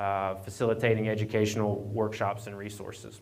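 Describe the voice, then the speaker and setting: The speech moves at a fairly quick pace. There is audible room echo and noticeable background noise. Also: man. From Appalachian Virginia. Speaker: county association staffer, speaker. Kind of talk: conference presentation. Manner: halting, many fillers and repeats.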